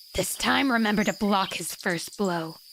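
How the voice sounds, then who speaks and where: A woman puts on a character voice. Her pitch is medium, with ordinary variation. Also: moderate pace. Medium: virtual streamer. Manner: harsh, cold.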